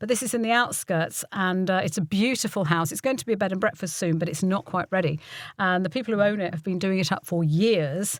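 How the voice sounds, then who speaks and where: Very fast and with ordinary pitch variation, a woman with an English Midlands accent and a medium pitch speaks in a very clean recording with a silent background. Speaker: voiceover artist and voice coach. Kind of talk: interview chat.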